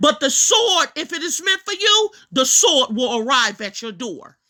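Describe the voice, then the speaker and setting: A woman speaks in a raised, projected voice with a bright, sharp tone and an animated manner. Her pitch swings very widely while her pace stays fairly slow. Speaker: religious teacher. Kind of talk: preaching monologue.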